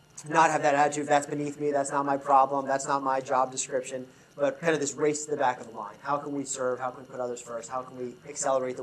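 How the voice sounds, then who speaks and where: A man at medium pitch, very fast and with hardly any pauses, flat and monotone in intonation, his loudness swinging widely over noticeable background noise. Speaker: leadership consultant. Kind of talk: conference talk.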